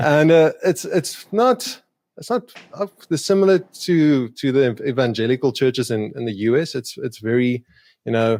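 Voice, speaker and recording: Speaking with a South African accent, a man holds a medium pitch and lively intonation. His pace is moderate, and the sound is dry and close with no echo. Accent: Afrikaans South African English. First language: Afrikaans. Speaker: YouTube creator doing street epistemology conversations. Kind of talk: podcast interview.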